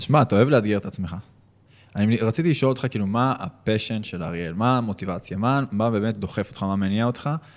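This man talks at a very fast pace with a fairly low pitch. The recording is very clean, with a silent background. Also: ordinary pitch variation. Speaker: podcast co-host, business owner. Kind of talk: casual interview chat.

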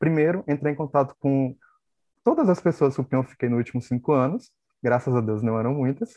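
A man has a plain, everyday voice with a fairly high pitch and ordinary pitch variation. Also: fairly quick pace. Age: 30s. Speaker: HIV activist, YouTuber. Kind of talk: casual panel discussion.

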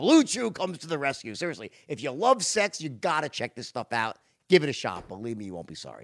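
A man's fairly high voice with vocal fry, very fast pace, very wide pitch swings and big swings in loudness, on a very clean recording with a silent background. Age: 50s. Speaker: podcast host. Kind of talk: casual interview chat. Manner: animated, talkative, interrupts.

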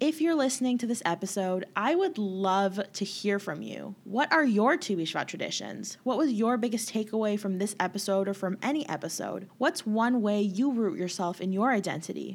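This is an ordinary speaking voice from a woman at medium pitch. She talks with hardly any pauses. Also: lively intonation, moderate pace. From Canada, Winnipeg. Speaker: podcast host. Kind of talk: casual interview; scripted intro narration.

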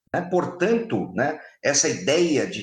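There is vocal fry in this man's voice. His pitch is fairly high and his intonation lively. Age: 50s. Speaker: public security expert and firearms instructor. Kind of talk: interview.

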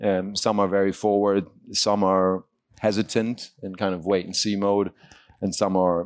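In a German accent, a man speaks at a fairly slow pace with a fairly low pitch and monotone, flat intonation, on a very clean recording with a silent background. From Germany. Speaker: e-commerce CEO. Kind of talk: panel discussion.

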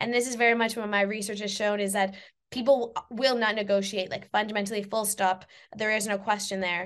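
An ordinary speaking voice with a Canadian accent and fairly even intonation, over a quiet background. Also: woman. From Canada. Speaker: university lecturer and researcher. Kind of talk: interview.

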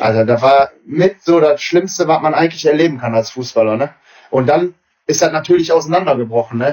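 At a fairly quick pace, a man with a fairly high pitch and ordinary pitch variation uses a normal speaking voice. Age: 30s. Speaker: amateur footballer and coach. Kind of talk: casual chat.

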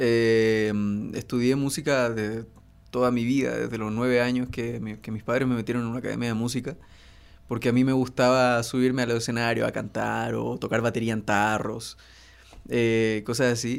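Monotone, flat intonation marks a man's delivery. He holds a medium pitch at a moderate pace. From northern Chile (Iquique). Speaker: singer-songwriter. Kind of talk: casual chat. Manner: halting.

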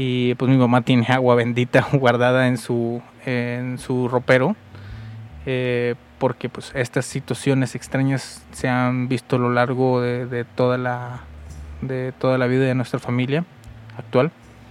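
Over noticeable background noise, a man of medium pitch speaks fairly slowly in a monotone, flat intonation. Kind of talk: late-night solo monologue. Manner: halting, many fillers.

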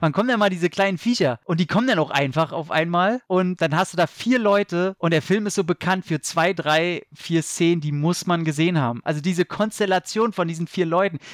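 Animated in tone, a man with a high pitch speaks at a fairly quick pace in a very clean recording with a silent background and a dry, close sound with no echo. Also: ordinary pitch variation, hardly any pauses. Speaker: film podcaster and horror writer. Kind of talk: casual chat.

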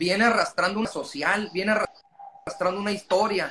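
A man's raised, projected voice, high in pitch, at a fairly slow pace over noticeable background noise. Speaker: language school director. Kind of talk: casual interview.

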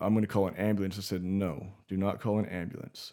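With a dark, mellow tone, a man speaks very fast at a fairly low pitch in a very clean recording with a silent background. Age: 20s. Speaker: podcast guest. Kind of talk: casual chat.

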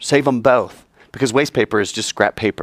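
Animated and at a moderate pace, a man's voice comes through with a dry, close sound and no echo. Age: 40s. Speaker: high school teacher. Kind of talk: lecture.

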